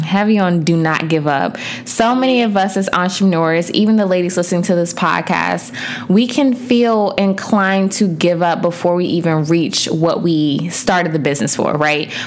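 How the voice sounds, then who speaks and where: A woman speaks with lively intonation at a fairly low pitch. Noticeable background noise is heard. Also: moderate pace, very even loudness. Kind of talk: pep talk. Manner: earnest, encouraging, direct address to listeners.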